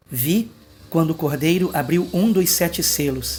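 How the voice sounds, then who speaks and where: A soft-spoken man talks at a very slow pace in a somewhat breathy voice with ordinary pitch variation. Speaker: pastor. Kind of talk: late-night video monologue on prophecy. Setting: at home at night, family asleep.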